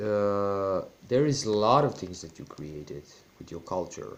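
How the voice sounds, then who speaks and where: A fairly slow pace in a Serbian accent. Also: man. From Serbian, former Yugoslavia. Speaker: YouTuber. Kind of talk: personal vlog monologue. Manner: halting.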